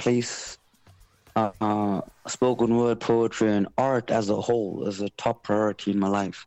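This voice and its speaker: Music plays in the background. A man with a fairly low pitch talks at a very slow pace. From South Africa. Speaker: spoken word poet and artist. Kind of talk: radio interview. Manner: articulate, thoughtful.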